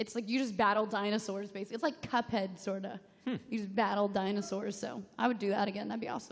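Against a quiet background, a woman talks at a very fast pace with hardly any pauses. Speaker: gaming web show panelist; panelist. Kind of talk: live convention panel chat. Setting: stage with audience. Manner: animated. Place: hall. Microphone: podium.

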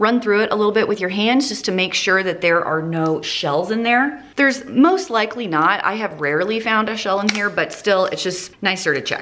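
Noticeable background noise runs through the clip. A woman talks over it at a moderate pace. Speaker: home cooking vlogger. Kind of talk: casual cooking tutorial chat. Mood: cheerful, chatty. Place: kitchen.

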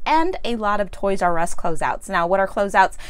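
The speaker is a woman. She moves fairly quickly, and her pitch swings very widely. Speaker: shopping vlogger. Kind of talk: casual vlog chat. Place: home room. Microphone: lapel.

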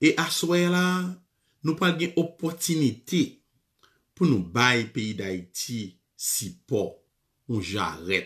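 A man with a fairly high pitch talks very slowly with long, frequent pauses. His pitch swings very widely against a quiet background. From Haiti. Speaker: radio show host. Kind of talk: live call-in show. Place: office. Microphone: webcam.

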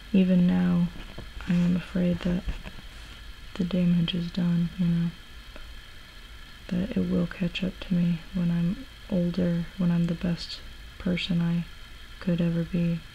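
A soft-spoken woman with a fairly low voice talks fairly slowly in a monotone, flat delivery, leaving long, frequent pauses over light background noise. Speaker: ASMR creator. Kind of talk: ASMR soft-spoken talk. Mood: reflective, serious. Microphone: camera far.

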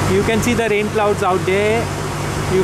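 A moderate pace, a dry sound with no echo, and loud background noise. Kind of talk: casual travel commentary. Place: boat. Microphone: phone near.

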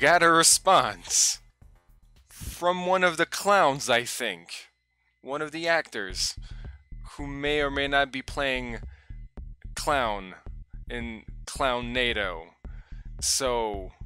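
Faint music plays in the background. A man speaks at a very slow pace with long, frequent pauses. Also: dry sound with no echo. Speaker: vlogger. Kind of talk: casual vlog chat. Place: home room. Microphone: headset.

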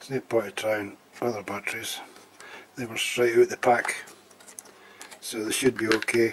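Moderate pace against noticeable background noise. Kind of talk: casual tutorial commentary. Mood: resigned, matter-of-fact. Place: home room. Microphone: phone near.

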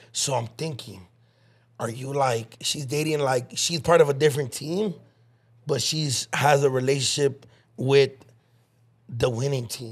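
Somewhat breathy, the voice moves at a moderate pace with ordinary pitch variation over a quiet background. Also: man, fairly high pitch for a man. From Mexican-American, Los Angeles. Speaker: podcast host. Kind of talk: casual chat. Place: studio. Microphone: studio mic.

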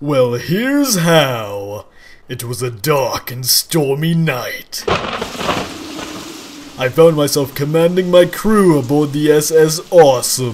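Speaking at a fairly slow pace with long, frequent pauses, a man with a fairly high pitch uses lively intonation and big swings in loudness. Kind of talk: comic overacting. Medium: machinima. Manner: boastful, goofy, hyperactive.

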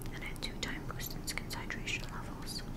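A woman whispers at a fairly quick pace. Noticeable background noise is present. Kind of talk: ASMR product haul. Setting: outdoors, windy. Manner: whispered, soft-spoken.

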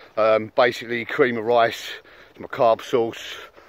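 The sound of this man's voice is dry, with no echo. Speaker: fitness vlogger. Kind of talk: casual vlog chat. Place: open country. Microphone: phone near.

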